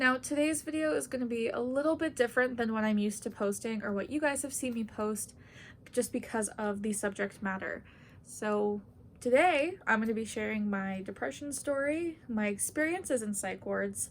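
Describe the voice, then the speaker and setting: A woman with a plain, everyday voice talks at a moderate pace, her fairly high pitch carried by lively intonation. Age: 20s. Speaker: university student. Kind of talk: casual talk to camera.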